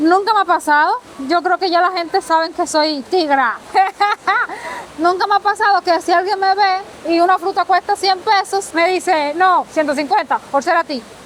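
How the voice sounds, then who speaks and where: A woman speaks in a Dominican accent at an extremely high pitch, with ordinary pitch variation and a moderate pace. Her loudness stays very even over noticeable background noise. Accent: sounds Dominican, similar. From Cuba. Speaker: guest, Cuban immigrant. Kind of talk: casual chat.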